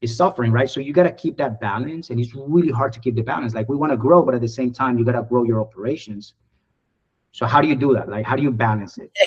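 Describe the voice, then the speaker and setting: A man at a very fast pace, somewhat breathy. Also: medium pitch for a man, ordinary pitch variation. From Colombia. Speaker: IT services business owner. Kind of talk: podcast interview.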